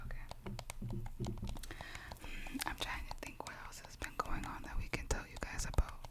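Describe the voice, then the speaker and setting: A woman whispers at a fairly slow pace, her loudness swinging widely. Noticeable background noise runs underneath. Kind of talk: ASMR whisper ramble. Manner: whispered, soft-spoken.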